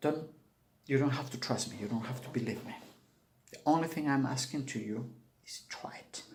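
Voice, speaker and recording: Somewhat breathy speech at a moderate pace, with long, frequent pauses, big swings in loudness and audible room echo. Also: man, medium pitch for a man, ordinary pitch variation. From Peru, Cusco. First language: Spanish. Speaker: Andean shaman. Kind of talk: spiritual video talk to camera.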